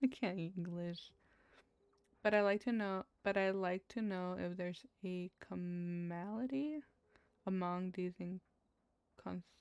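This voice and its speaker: Spoken with a Spanish accent at a fairly slow pace, the voice shows ordinary pitch variation in a dry, close recording with no echo. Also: woman. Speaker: gaming streamer. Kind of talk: casual gameplay commentary, reading game text aloud. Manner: stumbling over words while reading.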